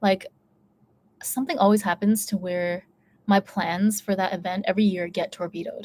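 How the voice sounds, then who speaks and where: With an American accent, a woman speaks at a moderate pace in a medium pitch and fairly even intonation, taking long, frequent pauses, the sound dry and close with no echo. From United States. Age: 30s. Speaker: YouTuber. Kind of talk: casual chat. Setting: live stream.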